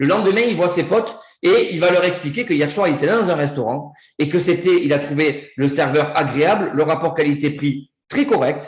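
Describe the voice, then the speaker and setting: In a southern French accent, a man with a fairly high voice speaks in an animated tone, with audible room echo around him. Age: 40s. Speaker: network marketing presenter. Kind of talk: sales pitch. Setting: video call.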